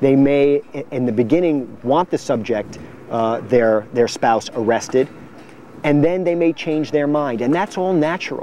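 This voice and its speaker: A man with an unremarkable speaking voice, fairly slow pace, and ordinary pitch variation. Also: fairly high pitch for a man. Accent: American. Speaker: prosecutor running for district attorney. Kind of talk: campaign interview answer.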